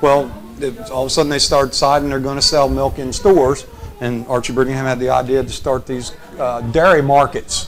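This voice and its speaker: With music in the background, a man talks at a medium pitch with fairly even intonation. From Sussex County, Delaware. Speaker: state senate candidate. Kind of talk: interview. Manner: halting.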